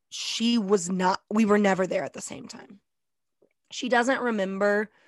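In an unremarkable speaking voice, a woman talks at a medium pitch with fairly even intonation, the sound dry and close with no echo. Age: 20s. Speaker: podcast co-host and teacher. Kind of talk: casual chat.

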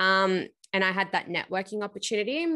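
A woman with an Australian accent and a bright, sharp tone at medium pitch, moderate pace and ordinary pitch variation, over a quiet background. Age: 20s. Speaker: PR agency founder. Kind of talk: interview.

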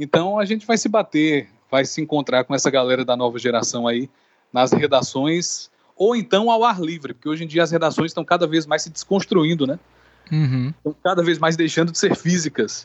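A man speaks with lively intonation at a fairly high pitch. His pace is moderate. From Brazilian Northeast, Campina Grande (Paraíba). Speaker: football commentator. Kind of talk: interview. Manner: animated.

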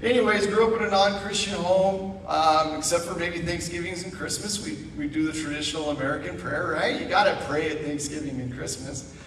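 Amid noticeable background noise and audible room echo, a high-pitched man talks in an animated tone at a fairly quick pace, with ordinary pitch variation and hardly any pauses. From Idaho. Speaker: guest speaker. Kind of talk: sermon. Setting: church.

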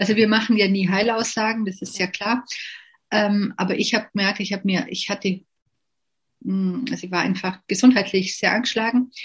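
A woman's somewhat breathy, medium-pitched voice with monotone, flat intonation, a moderate pace and long, frequent pauses over a quiet background. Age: 50s. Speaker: network marketing distributor. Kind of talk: interview.

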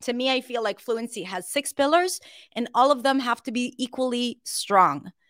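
At a fairly slow pace, a woman with an Israeli accent speaks at a fairly high pitch, the sound dry and close with no echo on a very clean recording with a silent background. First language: Hebrew. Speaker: English pronunciation coach. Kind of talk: casual interview chat.

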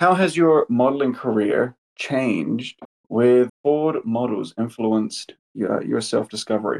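An ordinary speaking voice, a man's at a medium pitch, moves at a fairly slow pace with ordinary pitch variation in a dry, close sound with no echo. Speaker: podcast interviewer. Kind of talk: interview.

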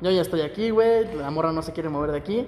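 Through noticeable background noise and audible room echo, a man speaks with lively intonation. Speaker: podcast co-host. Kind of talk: casual chat.

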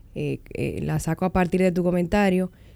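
A woman's medium-pitched voice with a dark, mellow tone at a fairly quick pace, on a very clean recording with a silent background. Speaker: podcast host. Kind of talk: interview.

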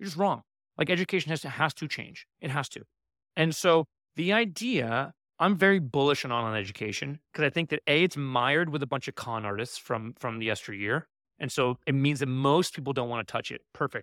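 On a very clean, dry, close recording with no echo and a silent background, a man with an unremarkable speaking voice and an American accent talks fairly quickly at a fairly high pitch with lively intonation. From New York City. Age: 30s. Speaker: entrepreneur and investor. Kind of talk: casual interview.

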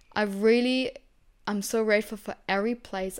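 Against a silent background on a very clean recording, a woman with a German accent speaks at a moderate pace in a fairly high voice with fairly even intonation. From Germany. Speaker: podcast host. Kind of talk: solo podcast monologue.

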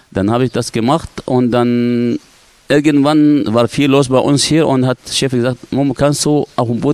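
At a fairly slow pace, a man with an Arabic accent talks in a medium-pitched voice. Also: dry, close sound with no echo. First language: Arabic (speaking German). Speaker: dive instructor. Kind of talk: casual interview. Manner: halting.

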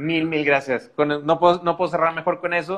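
A man with a fairly high pitch talks at a very fast pace. His intonation stays fairly even. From Mexico, Monterrey. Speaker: podcast host. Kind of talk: casual interview on a live stream.

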